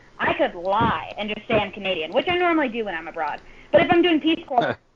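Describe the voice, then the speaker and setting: A fairly high-pitched woman with an American accent, very fast pace and very wide pitch swings, over noticeable background noise. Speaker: podcast guest, host's older sister. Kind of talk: casual chat.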